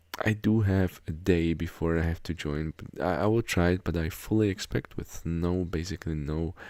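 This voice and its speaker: Quiet and very deep, this man's voice has a dark, mellow tone and fairly even intonation. He keeps a moderate pace with hardly any pauses, on a very clean recording with a silent background. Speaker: gaming YouTuber. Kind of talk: game update commentary. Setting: home recording after midnight. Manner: quiet, low volume; hesitant with many fillers.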